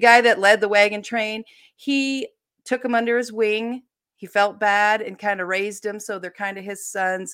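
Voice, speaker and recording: A woman with a plain, everyday voice speaks at a moderate pace and a fairly high pitch. Her intonation stays fairly even while her loudness swings widely, in a very clean recording with a silent background. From Ohio, US. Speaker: mystery novelist. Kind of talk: casual interview.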